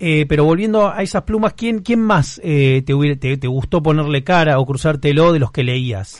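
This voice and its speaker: A man with a Rioplatense accent speaks at a moderate pace and fairly high pitch, with lively intonation and hardly any pauses. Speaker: podcast host. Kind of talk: casual interview.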